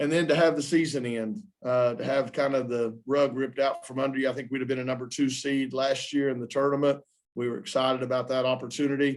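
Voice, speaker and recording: There is audible room echo around a man speaking with a fairly high pitch. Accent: Southern US. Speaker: basketball coach. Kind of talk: press conference. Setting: postgame press conference.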